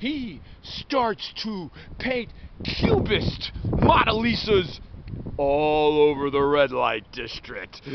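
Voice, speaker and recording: A man talks at a very slow pace. The sound is dry with no echo, but background noise is noticeable. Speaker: vlogger. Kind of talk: rambling storytelling monologue. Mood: playful, absurd. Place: open country. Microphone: phone near.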